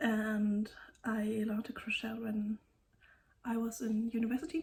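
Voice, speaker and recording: Her speech is fairly slow. This woman has a German accent. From Germany. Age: 30s. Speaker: knitting podcaster. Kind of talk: casual vlog talk. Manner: halting.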